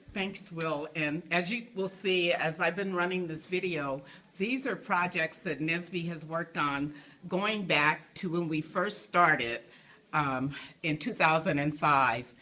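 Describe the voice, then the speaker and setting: A woman speaks at a fairly slow pace in a fairly low pitch, her tone bright and sharp. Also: ordinary pitch variation. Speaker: youth program director. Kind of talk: recorded presentation.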